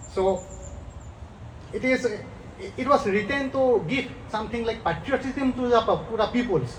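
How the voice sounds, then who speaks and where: Someone with an Assam accent speaks at a fairly slow pace, leaving long, frequent pauses, over noticeable background noise. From India, Assam. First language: Assamese. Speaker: community representative. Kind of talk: public speech. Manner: halting.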